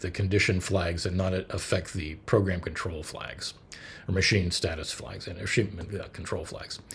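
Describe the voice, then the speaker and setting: His voice is somewhat breathy. The man keeps to a moderate pace. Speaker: hobbyist computer builder. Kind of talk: technical explainer video. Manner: halting, many fillers.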